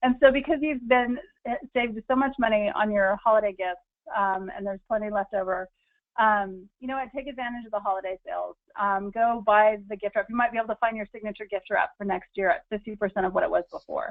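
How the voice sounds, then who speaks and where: Talking at a very fast pace is a woman with an American accent. Her pitch is fairly high. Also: ordinary pitch variation. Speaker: lifestyle and money-saving speaker. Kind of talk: webinar presentation. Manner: many fillers; animated.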